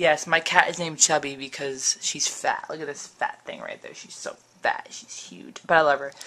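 This woman talks at a moderate pace. She has an American accent. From New Jersey. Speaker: vlogger. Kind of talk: casual vlog. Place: home room. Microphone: phone near.

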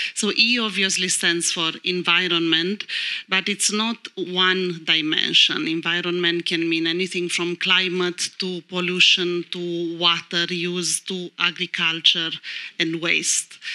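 Against a quiet background, a woman with a Romanian accent speaks at a fairly slow pace in a monotone, flat intonation. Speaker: lawyer. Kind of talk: panel discussion. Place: stage. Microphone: handheld.

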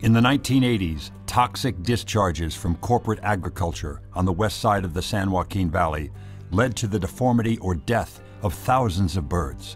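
Over music in the background, a man with a fairly low pitch talks at a moderate pace with hardly any pauses. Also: ordinary pitch variation. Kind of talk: documentary narration.

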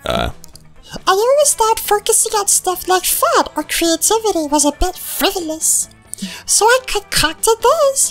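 With faint music in the background, someone uses a put-on character voice at a moderate pace. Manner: sardonic, teasing.

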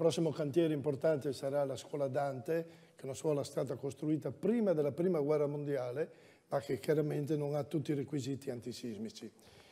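At a very fast pace, a man talks in a fairly high pitch with a dark, mellow tone and big swings in loudness. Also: ordinary pitch variation. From Udine, Friuli; Friuli. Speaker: incumbent mayor, candidate; candidate. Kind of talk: political debate. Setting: stage with audience. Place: stage. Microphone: lapel.

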